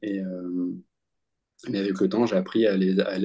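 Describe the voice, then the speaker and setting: At a moderate pace, a man talks with a fairly low pitch and a dark, mellow tone. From France, Bordeaux. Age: 20s. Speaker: medium and Ayurveda practitioner. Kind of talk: interview. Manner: halting, many hesitations and repetitions.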